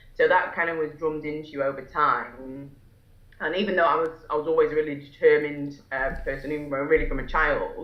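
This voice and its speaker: Very fast and monotone, a woman with a Lancashire accent speaks at a very deep, low pitch, with audible room echo. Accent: northern English (Lancashire). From northwest England, Fylde coast near Blackpool. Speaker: solicitor and entrepreneur. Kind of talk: interview. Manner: hesitant, many fillers and restarts.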